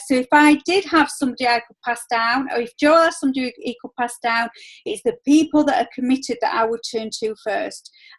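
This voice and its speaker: A woman with a Yorkshire accent speaks at a moderate pace with hardly any pauses, her high pitch showing ordinary variation and her loudness swinging widely. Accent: broad Yorkshire. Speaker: network marketing team leader. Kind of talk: video call team meeting. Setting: video call.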